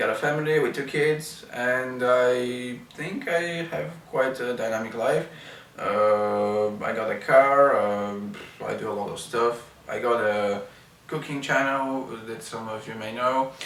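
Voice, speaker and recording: With a Bulgarian accent, a man talks at a fairly slow pace in a medium pitch with ordinary pitch variation. Audible room echo and noticeable background noise are present. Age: 30s. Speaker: wheelchair user and video blogger. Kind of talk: product review. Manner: hesitant, many fillers.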